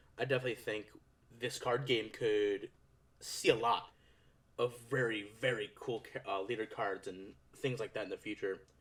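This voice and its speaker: Long, frequent pauses break up a man's medium-pitched speech, which keeps a fairly even intonation. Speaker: card game YouTuber. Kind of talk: casual commentary video. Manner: fast. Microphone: echo in the video.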